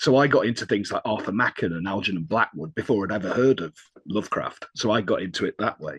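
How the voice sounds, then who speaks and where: Speaking very fast in a northern English accent, a man uses a fairly low pitch with ordinary pitch variation. The sound is dry and close, with no echo. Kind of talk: casual chat.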